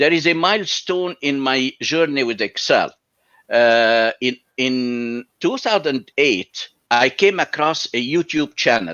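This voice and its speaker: With an Arabic accent, a man speaks at a very slow pace in a fairly high pitch, his intonation lively. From Egypt. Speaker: college professor and Excel instructor. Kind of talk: interview.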